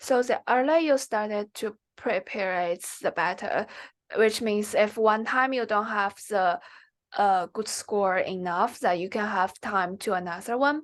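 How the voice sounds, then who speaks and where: A woman with a Chinese accent, fairly high pitch, ordinary pitch variation and a fairly slow pace, over a quiet background. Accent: Mandarin Chinese. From China, Xi'an (northwest). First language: Mandarin Chinese. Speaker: MBA applicant, finance professional. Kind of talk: interview. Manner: halting.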